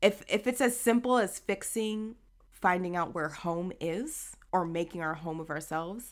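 A woman speaks in a plain, everyday voice, fairly low-pitched with ordinary pitch variation. The recording is very clean with a silent background. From Haitian American, US. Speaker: podcast co-host. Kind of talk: casual chat.

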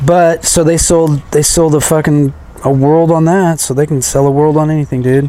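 This man's fairly high pitch holds a monotone, flat intonation and very even loudness. Noticeable background noise runs behind him. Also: moderate pace. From California. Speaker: podcast co-host. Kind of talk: casual chat.

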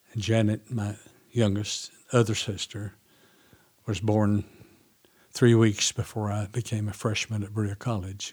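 The speaker's intonation is monotone and flat, in an Appalachian accent. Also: man. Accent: Southern US, Appalachian. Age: 80s. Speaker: farmer and seed saver. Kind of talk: interview. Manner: halting.

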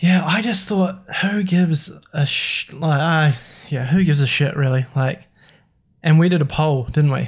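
This man has a normal speaking voice and keeps to a moderate pace. His fairly high pitch shows ordinary pitch variation. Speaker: podcast host. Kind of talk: casual chat.

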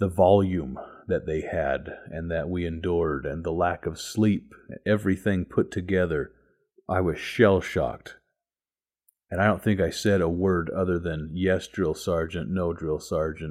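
A man speaks at a fairly slow pace with fairly even intonation. The recording is very clean, with a silent background. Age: 30s. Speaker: religious podcast host. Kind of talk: devotional talk. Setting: home garage gym. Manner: halting, many fillers.

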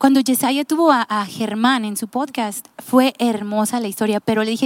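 With a dry, close sound and no echo, a woman speaks at a moderate pace using ordinary pitch variation. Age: 30s. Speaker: podcast host. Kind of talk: casual chat.

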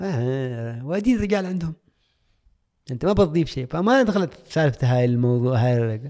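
Lively intonation from a man with a plain, everyday voice, fairly high-pitched, at a moderate pace. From Oman, coastal town south of the capital. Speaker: coach. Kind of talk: casual life-story interview. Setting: studio.

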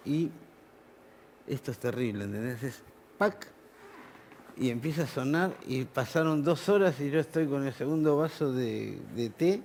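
With a Rioplatense accent, a man speaks in a fairly high voice. His pace is moderate and his intonation lively. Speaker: musician. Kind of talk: casual chat.

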